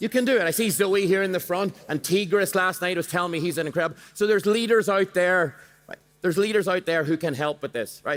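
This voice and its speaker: Talking at a very fast pace, a man uses a high pitch and an animated tone. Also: ordinary pitch variation. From Ireland. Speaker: motivational speaker. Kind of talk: keynote talk with audience activity. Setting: stage with audience.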